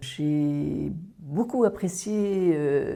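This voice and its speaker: A woman's very deep, low voice with a dark, mellow tone and ordinary pitch variation. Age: 60s. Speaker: workshop participant. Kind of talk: testimony.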